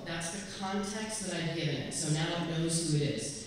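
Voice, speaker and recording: A woman speaks at a moderate pace with a fairly low pitch and ordinary pitch variation. Strong room echo and light background noise surround her voice. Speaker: presenter. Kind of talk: tutorial. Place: hall. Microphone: camera far.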